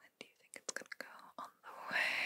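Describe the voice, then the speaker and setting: A soft-spoken woman whispers at a fairly quick pace, her loudness swinging widely over light background noise. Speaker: video host. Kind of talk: soft-spoken role-play, like an eye exam. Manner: soft close ASMR whisper. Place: home room.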